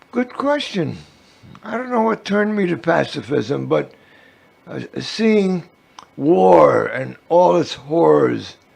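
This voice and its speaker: A man with an American accent speaks at a very slow pace, with long, frequent pauses. Noticeable background noise runs underneath. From New York City. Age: 80s+. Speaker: activist and war veteran. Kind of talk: interview. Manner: halting.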